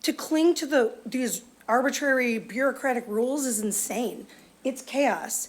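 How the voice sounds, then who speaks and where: Her pitch is high. The woman's voice shows ordinary pitch variation. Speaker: public commenter. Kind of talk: public comment at government meeting. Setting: county board meeting.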